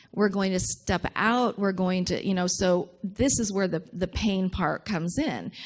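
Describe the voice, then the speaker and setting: A woman's normal speaking voice, medium in pitch, at a fairly slow pace with ordinary pitch variation, very even loudness and hardly any pauses. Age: 60s. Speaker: minister. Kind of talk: sermon.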